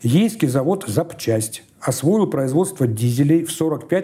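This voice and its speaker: A man's dark, mellow, somewhat breathy voice, solemn in tone yet with lively intonation. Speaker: newspaper archive expert. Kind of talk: soviet newsreel narration, reading archive newspaper text aloud. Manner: formal, measured, solemn official tone.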